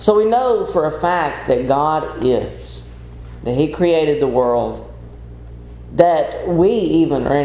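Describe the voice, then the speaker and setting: A man's voice over noticeable background noise. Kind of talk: sermon. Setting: church.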